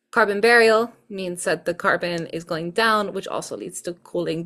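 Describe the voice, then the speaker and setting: A woman with a non-native accent and a bright, sharp tone speaks at medium pitch and a fairly quick pace in a very clean recording with a silent background. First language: not English. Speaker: student tutor. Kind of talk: exam review tutorial. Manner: casual, hesitant with fillers.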